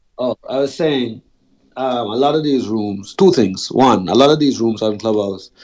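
A man's unremarkable speaking voice, with ordinary pitch variation and a moderate pace. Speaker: audience participant. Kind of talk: casual group discussion. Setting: live Clubhouse audio room.

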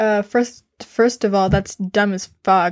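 A woman talks at a moderate pace with ordinary pitch variation, in a dry, close sound with no echo. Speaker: solo podcaster. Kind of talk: casual monologue. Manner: halting, many fillers and restarts.

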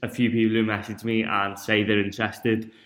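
A man speaks with a northern English accent. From northern England. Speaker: fitness podcast host. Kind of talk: solo podcast monologue.

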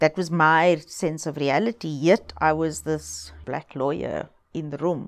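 Vocal fry at a fairly slow pace, with fairly even intonation, on a very clean recording with a silent background. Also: woman, very deep, low pitch for a woman. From South Africa, Cape Town townships. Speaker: human rights lawyer and foundation director. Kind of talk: interview. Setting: office.

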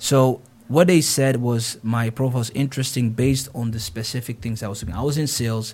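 Somewhat breathy, a man speaks at a fairly quick pace in a medium pitch with ordinary pitch variation. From Netherlands, with Ghanaian roots and school years in Ghana. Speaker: account executive and gaming network founder. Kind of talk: interview.

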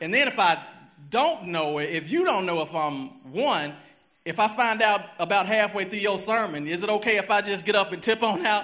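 A man with an American accent speaks in a raised, projected voice, high in pitch, with a bright, sharp tone and lively intonation. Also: moderate pace. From US South, Memphis, Tennessee. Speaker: lay preacher. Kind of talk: sermon. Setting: church.

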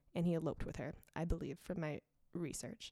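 A woman speaks at a fairly low pitch in a dark, mellow tone. The recording is very clean and the background silent. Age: 20s. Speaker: law graduate guest. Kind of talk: casual chat, storytelling.

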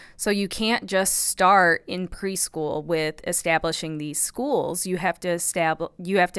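A woman with a Midwestern American accent speaks at a medium pitch and a very slow pace. Her pitch varies in an ordinary way on a very clean recording with a silent background. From US Midwest, Illinois. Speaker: psychology professor. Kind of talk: interview.

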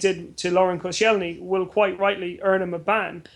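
A man with an Irish accent speaks in a high voice with fairly even intonation. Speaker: football journalist. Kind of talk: sports panel discussion.

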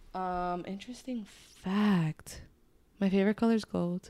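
Fairly even intonation in a Spanish accent. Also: woman. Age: 20s. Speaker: podcast co-host. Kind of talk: casual chat.

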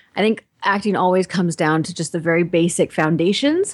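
Speaking at a moderate speed, a woman lets her pitch vary in an ordinary way. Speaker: stage actor. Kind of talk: interview.

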